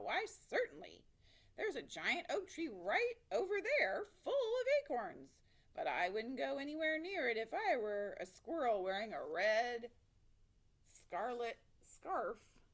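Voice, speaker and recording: A loud, high-pitched woman's put-on character voice at a fairly slow pace. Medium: read story.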